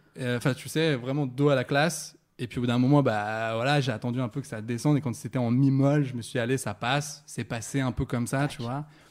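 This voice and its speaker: A man speaks in a normal speaking voice at a fairly quick pace. His pitch is medium, and the recording is very clean with a silent background. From Saint-Étienne, France. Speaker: guest on a sex talk show. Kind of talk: casual chat.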